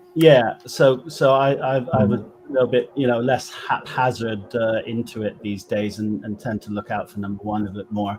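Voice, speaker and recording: Medium pitch for a man, a moderate pace with hardly any pauses, ordinary pitch variation, and noticeable background noise behind his voice. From West Country, England. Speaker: paranormal investigator and trance medium. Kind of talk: interview answer.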